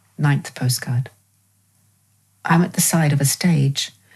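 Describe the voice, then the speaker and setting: A woman with an English accent speaks at a very deep, low pitch and a moderate pace, somewhat breathy with fairly even intonation. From England. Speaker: dancer and choreographer. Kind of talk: reading of her own prose text.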